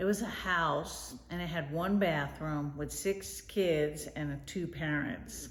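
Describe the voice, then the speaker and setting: A woman with an American accent speaks at a very slow pace in a very deep, low pitch, with vocal fry, ordinary pitch variation and audible room echo. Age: 60s. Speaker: grandmother interviewed. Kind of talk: interview answers.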